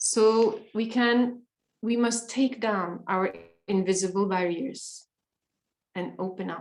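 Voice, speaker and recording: A woman speaks at a very slow pace with long, frequent pauses. Her pitch sits fairly high and varies in an ordinary way. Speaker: meditation workshop leader. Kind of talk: guided meditation workshop. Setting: workshop with live translation.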